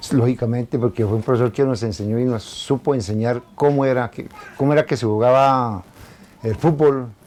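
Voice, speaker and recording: A man talks in a plain, everyday voice. His pitch is medium, with ordinary variation. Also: moderate pace. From Colombia, Suesca (Cundinamarca). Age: 60s. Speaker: former local athlete. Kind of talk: interview. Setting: at his home.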